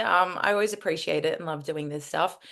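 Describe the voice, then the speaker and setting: A woman speaks at a moderate pace with an Australian accent and a bright, sharp tone. The background is quiet. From Australia, Melbourne. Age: 20s. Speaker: former agency recruiter, speaker. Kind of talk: interview.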